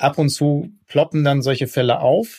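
A man talks with a somewhat breathy voice pitched fairly high. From Ruhr area, Germany. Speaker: politician. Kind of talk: interview.

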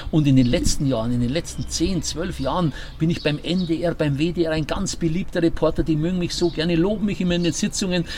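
With a Bavarian accent, the speaker goes at a fairly quick pace with hardly any pauses and ordinary pitch variation over noticeable background noise. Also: man, high pitch for a man. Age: 60s. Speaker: sports radio commentator and newspaper editor. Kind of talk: casual interview. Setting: rooftop terrace, in person.

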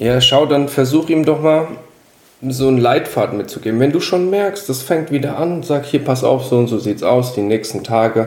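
At a moderate pace, a man with an ordinary speaking voice talks at a medium pitch with lively intonation. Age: 30s. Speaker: podcast guest. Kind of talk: casual chat.

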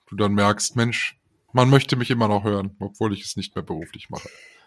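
Fairly quick speech comes from a man whose pitch varies in an ordinary way. The recording is very clean, and the background is silent. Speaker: podcast co-host, radio presenter.

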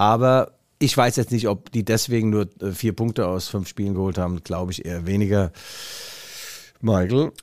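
On a very clean recording with a silent background, a man at a fairly low pitch talks at a moderate pace, with ordinary pitch variation and long, frequent pauses. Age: 50s. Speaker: football journalist and podcast co-host. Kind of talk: casual chat. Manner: animated.

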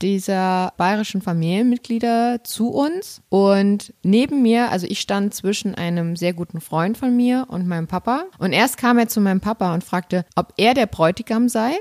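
A woman with an ordinary speaking voice talks at a fairly slow pace, with hardly any pauses, at a medium pitch with ordinary pitch variation. The sound is dry and close with no echo, on a very clean recording with a silent background. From Saxony, eastern Germany. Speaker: podcast host. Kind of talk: casual chat.

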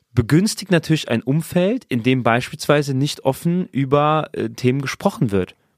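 A man with an ordinary speaking voice talks at a fairly slow pace, his intonation lively. The sound is dry and close with no echo, on a very clean recording with a silent background. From Saarland, Germany. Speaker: church worker and podcast co-host. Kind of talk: casual discussion.

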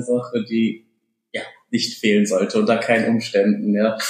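An unremarkable speaking voice belongs to a man. He talks at a moderate pace with ordinary pitch variation. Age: 20s. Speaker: student pilgrim. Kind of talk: casual interview. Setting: pilgrim centre, indoors.

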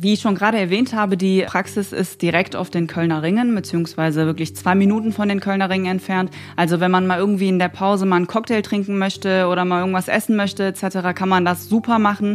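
At a very fast pace with hardly any pauses, a woman speaks at a medium pitch in a monotone, flat intonation with very even loudness. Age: 20s. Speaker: dental assistant trainee. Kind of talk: interview testimony.

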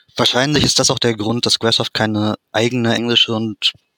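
Recorded with a dry, close sound and no echo, a man talks at a fairly quick pace in a bright, sharp tone. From Germany, Dortmund. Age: 30s. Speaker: fan translator and ROM hacker. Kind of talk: interview.

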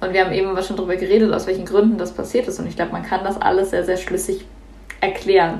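A woman at a medium pitch speaks very fast in a flat monotone, with audible room echo and noticeable background noise. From Germany. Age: young. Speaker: climate activist. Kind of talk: podcast debate.

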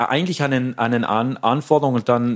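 A man's medium-pitched voice at a fairly quick pace with fairly even intonation on a very clean recording with a silent background. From South Tyrol, Pustertal. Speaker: organist and music lecturer. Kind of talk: interview.

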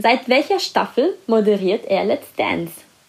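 Noticeable background noise sits behind a woman's fairly high voice. Her pitch swings very widely. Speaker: celebrity news podcast host. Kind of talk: quiz hosting. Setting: at home with cat.

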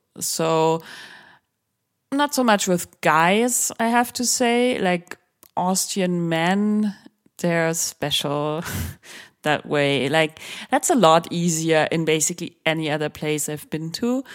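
A woman's fairly low voice in a German accent, with lively intonation, a very slow pace and long, frequent pauses. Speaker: sex journalist and author. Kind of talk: interview conversation.

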